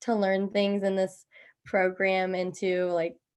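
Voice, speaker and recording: A woman with a Midwestern American accent at a fairly slow pace and medium pitch. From US Midwest, Indiana. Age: 20s. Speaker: missionary trainee. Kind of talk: group introduction, casual.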